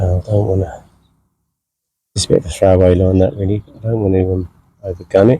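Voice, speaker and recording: A man speaks quietly at a very deep, low pitch. His voice is somewhat breathy, broken by long, frequent pauses. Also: fairly even intonation, fairly quick pace. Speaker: angler. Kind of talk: live commentary. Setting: outdoors.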